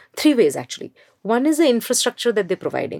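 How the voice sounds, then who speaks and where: A woman speaks with an Indian accent in a fairly high pitch. Her intonation is lively. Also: dry, close sound with no echo. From India, Mumbai. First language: Hindi. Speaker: education entrepreneur. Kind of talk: interview.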